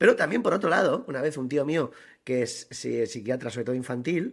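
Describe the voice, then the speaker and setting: A man speaks at a fairly quick pace with a fairly high pitch and a normal speaking voice. The recording is very clean, with a silent background. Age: 40s. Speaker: podcast co-host. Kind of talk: casual chat.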